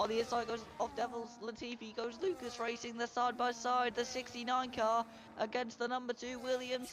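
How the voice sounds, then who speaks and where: A moderate pace over noticeable background noise. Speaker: sim racing commentator. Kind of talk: live commentary.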